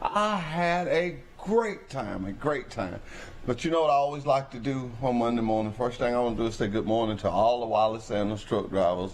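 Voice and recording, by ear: A man at a medium pitch and moderate pace, with ordinary pitch variation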